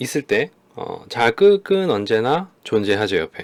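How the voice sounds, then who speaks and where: With a dry, close sound and no echo, a man at medium pitch talks fairly slowly, his pitch swinging very widely. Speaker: psychology lecturer. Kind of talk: lecture. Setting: home studio recording. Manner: animated.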